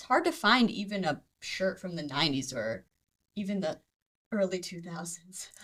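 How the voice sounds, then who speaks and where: A woman with an ordinary speaking voice, lively intonation, medium pitch, a moderate pace and big swings in loudness. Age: 20s. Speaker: vintage shop staff. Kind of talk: casual chat.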